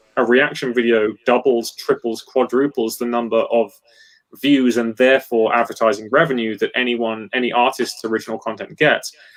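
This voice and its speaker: This man has an English accent and a medium pitch. He talks at a fairly quick pace. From England. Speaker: guitarist. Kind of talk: casual chat. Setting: live stream.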